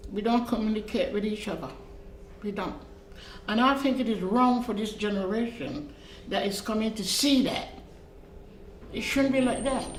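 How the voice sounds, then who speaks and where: Noticeable background noise and audible room echo fill the recording. A woman with a fairly high pitch speaks at a moderate pace, with ordinary pitch variation and long, frequent pauses. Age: old. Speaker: interviewee in documentary. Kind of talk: interview.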